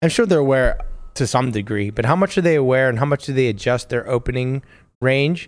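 This man has an unremarkable speaking voice, medium in pitch with ordinary pitch variation. He talks at a fairly quick pace over a quiet background. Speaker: poker player. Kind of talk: casual banter.

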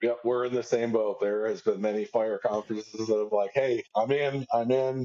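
A man talks at a moderate pace with hardly any pauses, in a plain, everyday voice. His pitch is medium and his intonation fairly even. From Cincinnati, Ohio. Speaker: fire lieutenant. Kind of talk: casual chat.

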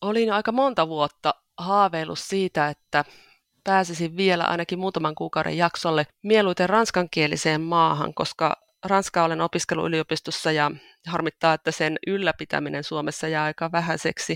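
This woman speaks at a moderate pace with fairly low pitch and fairly even intonation, and the recording is very clean with a silent background and a dry, close sound with no echo. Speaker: church volunteer. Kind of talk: interview. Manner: halting, with repeated words.

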